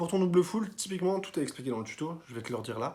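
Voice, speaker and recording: A man speaks very fast, somewhat breathy, in a dark, mellow tone. His pitch varies in an ordinary way. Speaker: tricking coach YouTuber. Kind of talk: tutorial feedback. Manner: casual, filler-heavy.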